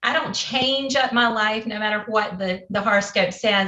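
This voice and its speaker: A woman with a Southern US accent and a fairly high voice talks at a moderate pace with ordinary pitch variation. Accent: southern twang. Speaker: game show contestant. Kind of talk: casual chat.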